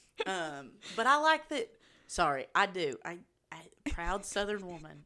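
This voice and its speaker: Her tone bright and sharp, a woman speaks with lively intonation. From Eastern Kentucky. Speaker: podcast co-host. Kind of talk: casual chat. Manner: animated.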